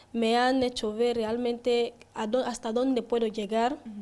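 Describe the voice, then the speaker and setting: A woman speaks fairly slowly. Her pitch sits high. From Equatorial Guinea, Bata; Equatorial Guinea. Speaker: beauty pageant queen; guest. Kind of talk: interview. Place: studio. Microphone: handheld.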